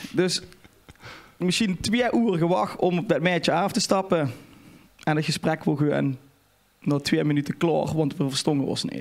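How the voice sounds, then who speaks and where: A moderate pace broken by long, frequent pauses, with ordinary pitch variation. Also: man, high pitch for a man. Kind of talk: casual podcast conversation, anecdote.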